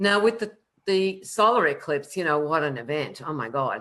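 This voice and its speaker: The speaker uses lively intonation with an animated tone. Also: woman. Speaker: astrologer. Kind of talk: live panel discussion. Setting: live online video stream. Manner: fast.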